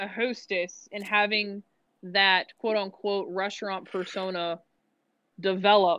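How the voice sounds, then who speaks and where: A woman speaks at a very slow pace in a bright, sharp tone. The background is quiet. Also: dry, close sound with no echo. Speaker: podcast guest, former restaurant server. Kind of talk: casual chat.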